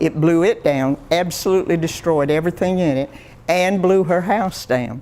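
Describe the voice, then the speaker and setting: This woman talks at a fairly slow pace with a Florida accent. Her voice is fairly low, with ordinary pitch variation. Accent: rural US Southern (Florida). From Florida, Indiantown area. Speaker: local elder sharing memories. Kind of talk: oral history talk. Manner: halting, with many restarts.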